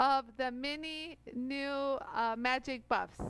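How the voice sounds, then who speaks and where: A woman with a high voice speaks in a dry sound with no echo, over light background noise. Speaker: live show host. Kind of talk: casual live stream chat. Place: studio. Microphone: headset.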